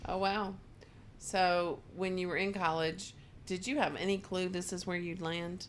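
An ordinary speaking voice, fairly slow in pace and fairly even in intonation. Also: woman, medium pitch for a woman. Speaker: podcast host. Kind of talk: casual interview chat. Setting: on location at guest's place.

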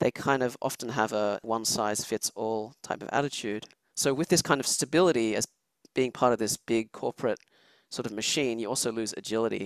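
In a very clean recording with a silent background and a dry, close sound with no echo, a man with an Australian accent talks at a fairly quick pace, with a medium pitch and ordinary pitch variation. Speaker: chemistry professor, former journal editor. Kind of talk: interview.

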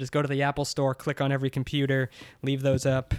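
A man's medium-pitched voice in a very clean recording with a silent background. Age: 30s. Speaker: satire site editor. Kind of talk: casual chat.

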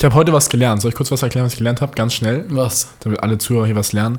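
A man is speaking. His voice is somewhat breathy. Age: young. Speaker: podcast co-host. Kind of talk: casual chat.

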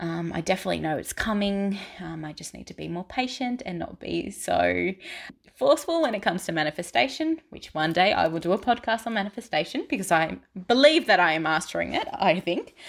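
Speaking at a fairly quick pace and a medium pitch, a woman uses vocal fry, very wide pitch swings and big swings in loudness, on a very clean recording with a silent background. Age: 20s. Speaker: spiritual podcaster. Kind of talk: personal storytelling monologue.

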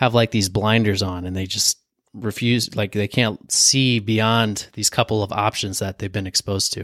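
A man talks at a moderate pace in a normal speaking voice. The recording is very clean and dry, close with no echo, over a silent background. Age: 20s. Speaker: podcast host. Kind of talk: solo motivational talk. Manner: casual, conversational.

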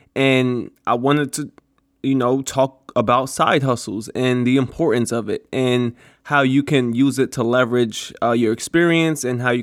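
Delivered at a moderate pace, a plain, everyday voice speaks with fairly even intonation. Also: man. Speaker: podcast host. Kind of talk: solo podcast monologue with advice. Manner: casual, conversational, filler words.

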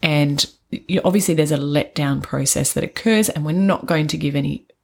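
Somewhat breathy, a woman with a very deep, low pitch speaks at a fairly quick pace. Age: 40s. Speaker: podcast co-host, trainee doula. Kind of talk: casual chat.

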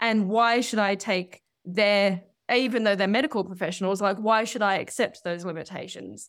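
With fairly even intonation and a moderate pace, a woman speaks in an ordinary speaking voice over a very clean recording with a silent background. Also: medium pitch for a woman. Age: 30s. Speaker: bodybuilder and fitness coach. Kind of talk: interview.

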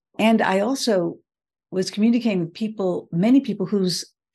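A woman speaks at medium pitch with a dark, mellow, somewhat breathy tone and an American accent. Her pace is moderate, her pitch variation is ordinary, and the background is quiet. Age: 70s. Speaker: leadership strategist. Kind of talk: interview.

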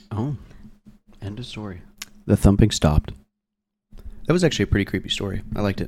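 This man talks at a very fast pace with lively intonation and a fairly low, somewhat breathy voice. His loudness swings widely, and he takes long, frequent pauses. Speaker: co-host skeptic. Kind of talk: casual banter podcast chat. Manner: relaxed, joking.

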